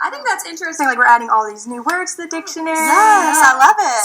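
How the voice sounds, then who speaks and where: A woman's extremely high voice is raised and projected, with very wide pitch swings and big jumps in loudness. She talks very fast over noticeable background noise. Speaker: student broadcast journalist, news anchor. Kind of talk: TV news anchor reading.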